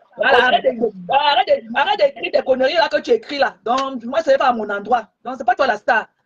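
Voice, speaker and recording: A woman's high-pitched, animated voice with lively intonation and a fairly quick pace. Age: 60s. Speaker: social media live streamer. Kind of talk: heated rant on a live stream. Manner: animated, repetitive.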